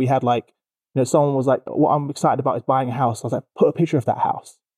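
A man speaks with a London accent. His tone is dark and mellow. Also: dry, close sound with no echo. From East London. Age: 30s. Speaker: HR company CEO and podcast host. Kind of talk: casual interview. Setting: studio.

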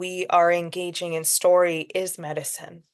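A woman speaks at a fairly slow pace with a medium pitch. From Alberta, Canada (Métis Cree, Edmonton). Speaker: actor and filmmaker. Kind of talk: interview. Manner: animated.

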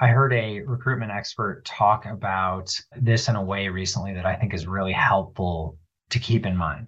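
A man's fairly low voice, a normal speaking voice, with ordinary pitch variation at a moderate pace. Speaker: healthcare consultant. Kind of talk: interview.

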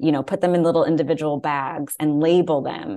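In a quiet background, a woman with an American accent talks at a moderate pace in a very deep, low pitch with monotone, flat intonation. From New York (Westchester), then Florida from age ten. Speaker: playwright and actress. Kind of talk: personal testimony.

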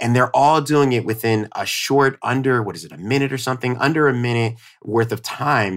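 The speaker has a strong New York accent and an animated tone. The pace is fairly quick, and the pitch variation is ordinary. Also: man, medium pitch for a man. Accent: New York accent, came out strongly. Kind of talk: casual chat.

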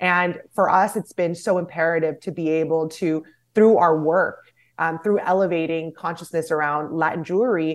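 This is an ordinary speaking voice. The pace is moderate. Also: woman, very clean recording, silent background. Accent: American. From United States. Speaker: nonprofit founder and director. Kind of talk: interview.

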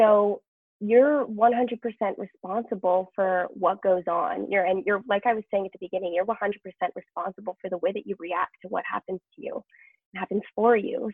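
A woman speaks in a plain, everyday voice with a Canadian accent. Her pitch is medium, her pace moderate and her intonation fairly even. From Canada, British Columbia. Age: young. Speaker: professional dancer and entrepreneur. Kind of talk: interview conversation.

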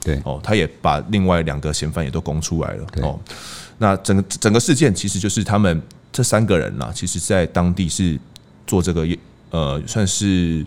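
At a moderate pace, a man with a very deep, low pitch and vocal fry talks with ordinary pitch variation. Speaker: crime reporter and podcast host. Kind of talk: casual conversation; scripted intro.

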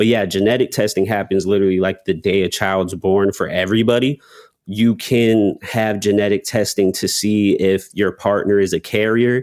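A man with an American accent and a plain, everyday voice speaks at a moderate pace in a fairly low pitch with fairly even intonation. His loudness stays very even in a very clean recording with a silent background. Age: 20s. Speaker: rapper and content creator. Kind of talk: interview.

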